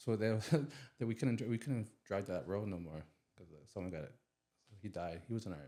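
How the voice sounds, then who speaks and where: Fairly quick speech from a man with a fairly low pitch, lively intonation, big swings in loudness, and long, frequent pauses. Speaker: army veteran. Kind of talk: casual chat. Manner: halting.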